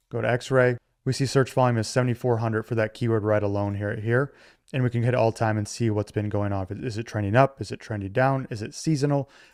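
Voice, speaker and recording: A medium-pitched man at a very fast pace, with fairly even intonation, in a dry sound with no echo and a quiet background. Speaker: online business tutorial creator. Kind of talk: tutorial. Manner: casual.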